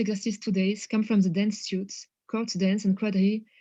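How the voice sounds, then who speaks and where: A woman with a strong French accent speaks at a fairly quick pace in a somewhat breathy, dark, mellow voice, fairly high in pitch and flat and monotone in intonation, against a quiet background. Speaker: academic researcher presenting a paper. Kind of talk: conference presentation; reading a prepared text aloud. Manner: hesitant, many fillers.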